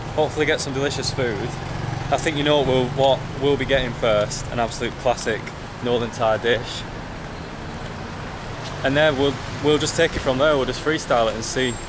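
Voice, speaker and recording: A man's fairly quick, fairly evenly intoned speech comes through noticeable background noise. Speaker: travel vlogger. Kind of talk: casual vlog chat. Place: street. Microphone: phone near.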